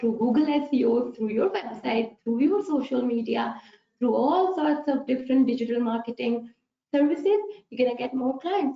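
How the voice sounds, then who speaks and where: A woman's high voice with a Pakistani accent, ordinary pitch variation and a moderate pace. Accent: Pakistani English, non-native. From Pakistan, Peshawar. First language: Pashto. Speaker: accountant. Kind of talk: webinar presentation. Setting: online webinar.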